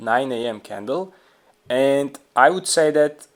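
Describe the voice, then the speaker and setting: A man speaks at a very slow pace with a non-native accent and ordinary pitch variation, on a very clean recording with a silent background. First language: not English. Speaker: trading video creator. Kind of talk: tutorial. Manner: halting, many fillers.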